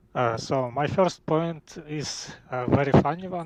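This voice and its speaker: With a non-native accent, a man speaks in a dry, close recording with no echo. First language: not English. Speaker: caller. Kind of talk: casual debate. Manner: halting.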